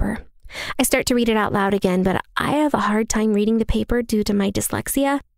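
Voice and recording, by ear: Someone reads aloud in a natural voice, the pitch moving up and down by normal amounts.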